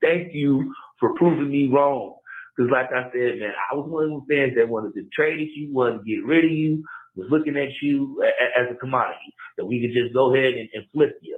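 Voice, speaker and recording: Using a plain, everyday voice, a man with a fairly high pitch talks at a fairly quick pace with fairly even intonation. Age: 30s. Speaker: caller. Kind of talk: voicemail. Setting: phone voicemail.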